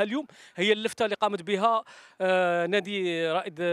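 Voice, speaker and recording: A man with a high-pitched voice talks at a moderate pace with ordinary pitch variation. The sound is dry, with no echo. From Algeria. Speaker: TV sports reporter. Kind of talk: field interview. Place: stadium. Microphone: handheld.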